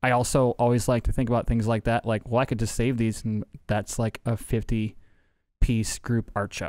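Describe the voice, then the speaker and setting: A man speaks in a monotone, flat way, the sound dry with no echo and the background quiet. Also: moderate pace. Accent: American. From US Midwest, South Side of Chicago; Chicago. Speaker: artist, illustrator; guest. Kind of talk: casual chat. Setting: studio. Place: studio. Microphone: studio mic.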